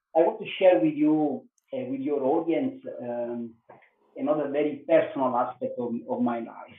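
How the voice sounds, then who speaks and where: This man has a fairly high pitch and an Italian accent. His pitch swings very widely at a moderate pace. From Italy. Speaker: yoga teacher, former police detective. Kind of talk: podcast interview answer. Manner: hesitant, many filler sounds.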